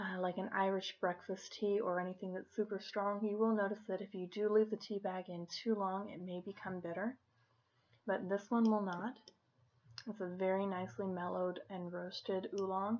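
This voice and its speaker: A soft-spoken woman's medium-pitched voice, monotone and flat, at a moderate pace. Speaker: tea shop host. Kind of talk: ASMR role play. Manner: softly spoken.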